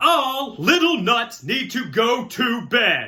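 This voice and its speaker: A man puts on a loud character voice, extremely high in pitch, speaking very slowly with lively intonation. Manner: commanding, motherly.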